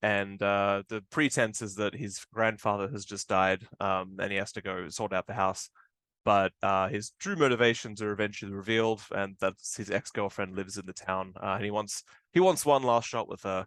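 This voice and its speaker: Fairly low-pitched male voice in an Australian accent, moderate pace, fairly even intonation, dry and close with no echo, quiet background. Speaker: film director. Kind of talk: interview. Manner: casual, many fillers.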